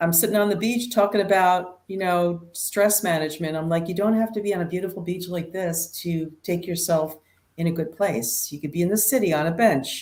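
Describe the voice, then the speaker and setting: Speech moves at a fairly quick pace with hardly any pauses. Pitch variation is ordinary. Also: woman, fairly low pitch for a woman. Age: 60s. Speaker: nurse practitioner. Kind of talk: interview. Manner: animated.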